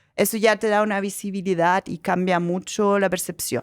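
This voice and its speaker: A woman with a German accent speaks at a fairly quick pace, her pitch medium with ordinary variation. The recording is very clean, with a silent background. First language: German (speaking Spanish). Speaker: company director and angel investor. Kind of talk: podcast interview.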